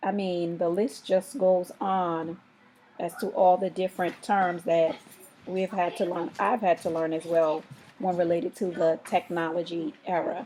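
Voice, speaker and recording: Her fairly low pitch carries ordinary pitch variation as the woman talks at a fairly slow pace. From US Virgin Islands, Saint Thomas. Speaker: parent. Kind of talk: interview.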